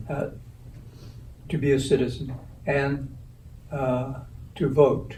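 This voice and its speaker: A somewhat breathy male voice with audible room echo. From US West Coast, Watsonville, California. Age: 80s+. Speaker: community elder sharing life history. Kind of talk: interview.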